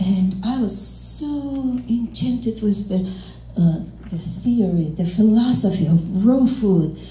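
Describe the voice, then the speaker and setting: A Russian accent over noticeable background noise. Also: woman. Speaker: interpreter. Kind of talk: stand-up comedy.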